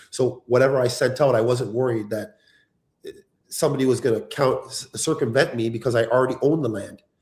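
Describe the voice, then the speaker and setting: Very fast, somewhat breathy speech from a man at medium pitch, with fairly even intonation. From Canada, Ontario (Toronto area). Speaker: reality show cast member, real estate developer. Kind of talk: live stream interview.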